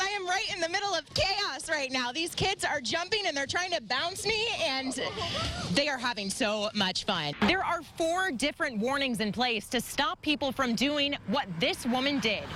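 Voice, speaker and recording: A woman with a high pitch and an American accent projects her voice at a moderate pace, her pitch swinging very widely and her loudness very even, with music in the background. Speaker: TV news reporter and anchor. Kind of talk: on-location field reporter stand-up.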